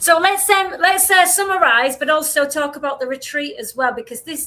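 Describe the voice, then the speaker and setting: A woman's bright, sharp tone at a moderate pace. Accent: strong Yorkshire. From Yorkshire, northern England. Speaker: podcast co-host, retreat organiser. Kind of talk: casual chat.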